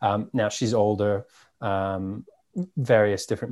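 The speaker talks at a fairly slow pace with a New York accent. The background is quiet. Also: man. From New York, Staten Island. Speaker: cannabis media founder. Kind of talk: casual interview chat.

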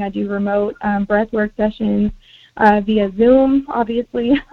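An unremarkable speaking voice from a woman, fairly high-pitched and fairly even in intonation. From US, Mexican American family. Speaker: healer and panelist. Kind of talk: panel discussion.

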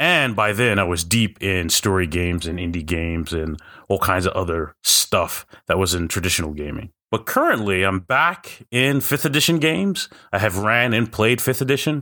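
Speaking with an American accent, a man with a fairly low pitch and a bright, sharp tone uses lively intonation at a moderate pace. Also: very clean recording, silent background. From New Jersey. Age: 40s. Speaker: podcast host, tabletop gamer, military veteran. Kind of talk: casual solo monologue. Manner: hesitant, many filler words.

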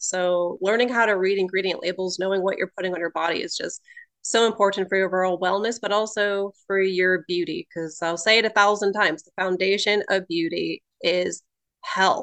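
Using a normal speaking voice, a woman with a medium pitch keeps to a moderate pace. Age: 30s. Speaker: holistic nutritionist and cosmetologist. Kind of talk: casual chat.

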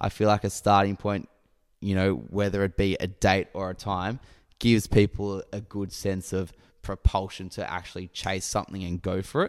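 With an Australian accent, a man speaks in a fairly low, monotone, flat voice on a very clean recording with a silent background. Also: moderate pace. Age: 20s. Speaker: podcast co-host. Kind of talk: casual chat.

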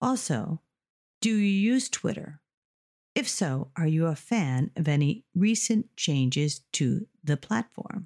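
A woman with an American accent speaks at a very slow pace in a fairly low pitch, with a dark, mellow tone and a somewhat breathy quality. Her pitch swings very widely while her loudness stays very even, and the sound is dry and close with no echo. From United States. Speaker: English teacher. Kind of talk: language lesson with news reading; reading aloud.

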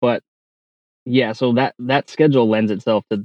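In a normal speaking voice with an American accent, a man talks at a moderate pace with fairly even intonation. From Arizona. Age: 30s. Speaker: cell tower climber. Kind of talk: interview.

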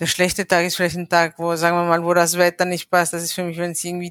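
In a dry, close recording with no echo, a woman with a slight non-native accent speaks at a fairly low pitch. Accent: slight foreign. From Ecuador, raised abroad. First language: Spanish (bilingual with German) (speaking German). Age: 40s. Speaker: integration specialist. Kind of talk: casual interview. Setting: video call.

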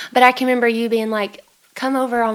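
A woman's fairly high voice, monotone and flat, at a very fast pace over noticeable background noise. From Arkansas. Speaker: musician and counselor, co-host friend. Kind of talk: casual chat.

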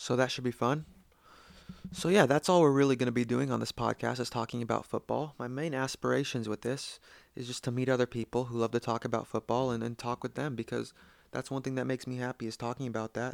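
A man with an American accent speaks at a very fast pace and medium pitch with fairly even intonation, the sound dry and close with no echo. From United States. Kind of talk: solo podcast introduction. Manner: halting, repeats words.

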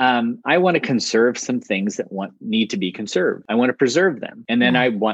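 With an American accent, the speaker talks at a moderate pace in a dry, close sound with no echo. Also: man. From Ohio, US Midwest. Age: 40s. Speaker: pastor. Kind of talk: interview conversation.

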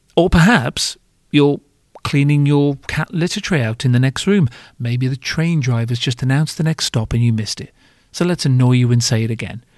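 A man with a British accent speaks at a moderate pace and medium pitch, with ordinary pitch variation. The sound is dry and close, with no echo. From Britain. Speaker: podcast host, former bar owner in hospitality. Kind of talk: comedic monologue podcast. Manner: animated.

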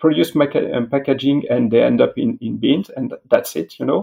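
At a moderate pace, a man talks. He speaks with a French accent. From France. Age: 40s. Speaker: industry executive. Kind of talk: interview. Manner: halting.

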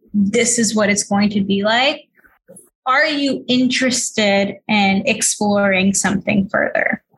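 With an American accent and an ordinary speaking voice, a woman talks fairly slowly at a fairly high pitch, with ordinary pitch variation and very even loudness. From New York City, Queens. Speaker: author and entrepreneur. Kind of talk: interview.

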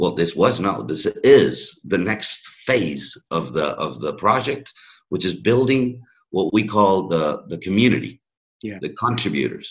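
Vocal fry and very wide pitch swings mark a man's voice with an American accent. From US, Miami. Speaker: sports innovation hub manager. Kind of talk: interview.

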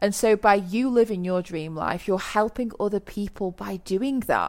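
A woman with an English accent speaks at a medium pitch with ordinary variation. The recording is very clean, with a silent background. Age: 30s. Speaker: podcast host, online business coach. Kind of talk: solo podcast monologue. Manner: animated.

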